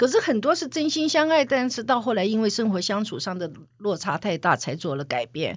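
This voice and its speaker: A woman speaks at a fairly quick pace with a fairly high pitch and vocal fry. Her pitch swings very widely. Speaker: veteran media executive and author. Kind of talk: interview conversation.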